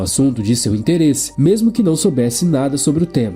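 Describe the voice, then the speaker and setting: Moderate pace and very wide pitch swings over music in the background. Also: man. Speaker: book summary narrator. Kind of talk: book summary narration.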